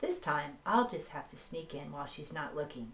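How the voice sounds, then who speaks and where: A woman's put-on character voice, very deep and low in pitch, at a moderate pace over clear background noise. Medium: read story.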